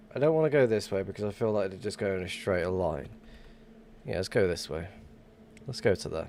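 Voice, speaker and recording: Speaking with an English accent, a man with a very deep, low voice talks at a fairly quick pace, with long, frequent pauses. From England. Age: 30s. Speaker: gaming streamer. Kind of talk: casual live-stream chat.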